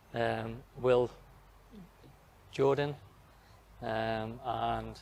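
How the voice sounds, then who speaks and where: This man has a medium-pitched voice with a Geordie accent. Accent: Geordie, mistaken for Australian. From northern England, Newcastle area. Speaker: professional footballer. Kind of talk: interview. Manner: brief, reserved answers.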